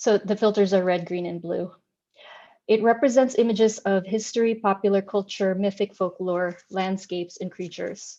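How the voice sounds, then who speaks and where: A woman's dark, mellow, medium-pitched voice in a Filipino accent, at a moderate pace with fairly even intonation. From Philippines. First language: Tagalog. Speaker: artist. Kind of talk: artist talk.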